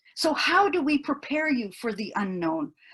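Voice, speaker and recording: A woman talks at a moderate pace in a high pitch. Her voice makes very wide pitch swings. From US, Mexican immigrant family, farmworker upbringing. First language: Spanish. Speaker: university professor, keynote speaker. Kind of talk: keynote talk. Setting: webinar. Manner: earnest, emphatic.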